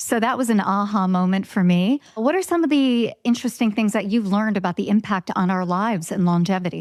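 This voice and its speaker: A woman's unremarkable speaking voice at a medium pitch with ordinary pitch variation, a fairly quick pace, hardly any pauses and very even loudness, on a very clean recording with a silent background. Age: 50s. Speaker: podcast host. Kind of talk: podcast interview.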